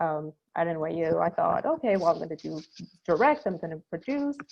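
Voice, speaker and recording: A woman's medium-pitched voice with a Spanish accent, at a fairly quick pace. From Ecuador, Guayaquil. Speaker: creative marketing producer. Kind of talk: panel discussion. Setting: video call. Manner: hesitant, many fillers.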